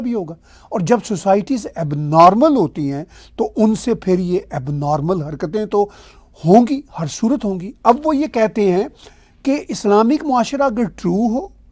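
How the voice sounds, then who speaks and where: A man with a Punjabi accent speaks at a high pitch with very wide pitch swings. The recording is very clean, with a silent background. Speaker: political commentator. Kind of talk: video commentary monologue.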